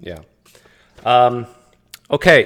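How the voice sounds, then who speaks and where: A man with a Canadian accent. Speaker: livestream host, atheist. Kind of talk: casual interview.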